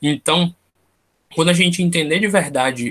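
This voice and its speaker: The man has an unremarkable speaking voice, with ordinary pitch variation at a moderate pace. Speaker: tarot study group leader. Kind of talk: online study group lecture. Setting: video call.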